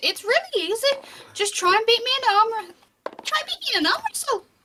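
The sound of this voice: A woman uses a put-on character voice, squeaky and extremely high in pitch. She talks at a fairly quick pace with lively intonation.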